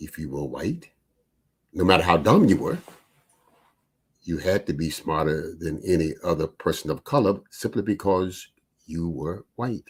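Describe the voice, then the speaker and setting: A man with a very deep, low pitch and an American accent, long, frequent pauses, on a very clean recording with a silent background. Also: ordinary pitch variation, moderate pace. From US South, North Carolina. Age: 80s+. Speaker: podcast host. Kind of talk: monologue commentary.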